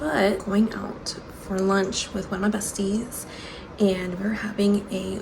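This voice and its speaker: A woman speaks at a fairly slow pace amid noticeable background noise and audible room echo. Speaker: book vlogger. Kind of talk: casual vlog talk. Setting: home, handheld then tripod. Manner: chatty, rambling.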